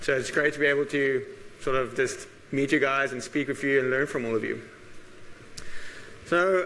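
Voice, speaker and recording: A loud man talking at a fairly quick pace. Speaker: actuary and conference speaker. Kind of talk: conference talk. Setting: stage with audience. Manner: hesitant with frequent fillers.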